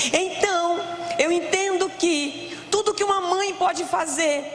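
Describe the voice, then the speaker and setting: A loud woman's voice at an extremely high pitch, very slow pace, with audible room echo and noticeable background noise. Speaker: preacher. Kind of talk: sermon.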